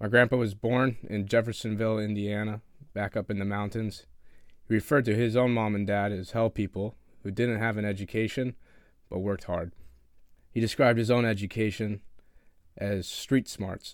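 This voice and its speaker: An unremarkable speaking voice with fairly even intonation, captured in a very clean recording against a silent background. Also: man, fairly low pitch for a man, moderate pace. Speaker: naval academy student. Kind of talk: prepared narration of family history.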